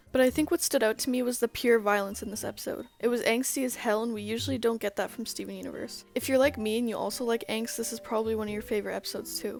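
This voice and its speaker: Over music in the background, a woman talks at a very fast pace with hardly any pauses. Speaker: youtuber. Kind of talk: video commentary.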